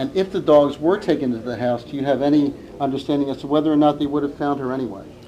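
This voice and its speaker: Over noticeable background noise, a man talks at a very fast pace in a fairly high pitch with ordinary pitch variation. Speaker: reporter asking questions at press conference. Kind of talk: press conference question.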